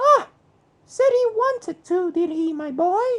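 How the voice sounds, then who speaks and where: A put-on character voice, squeaky and extremely high, at a fairly slow pace. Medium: read story.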